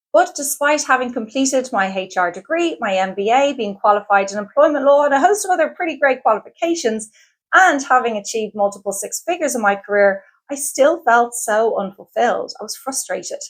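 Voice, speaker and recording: An enthusiastic woman in an Irish accent talks fairly quickly at a high pitch with very wide pitch swings, on a very clean recording with a silent background. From Ireland. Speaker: career coach. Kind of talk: sales pitch.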